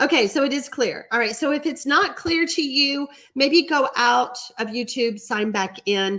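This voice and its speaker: Noticeable background noise surrounds a woman with an American accent. Her voice is high, with lively intonation. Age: 60s. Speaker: card-making instructor. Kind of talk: live stream tutorial with chat reading. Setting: home studio, live stream. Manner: casual, chatty.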